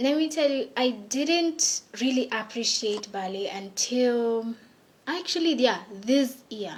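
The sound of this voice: A woman's fairly high voice at a slow pace, with lively intonation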